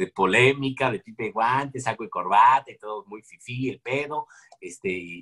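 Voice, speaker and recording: A man with a Mexican accent, medium-pitched, with a bright, sharp tone, very wide pitch swings and big swings in loudness at a moderate pace, in a dry, close sound with no echo. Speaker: comedian and impressionist. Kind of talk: casual interview.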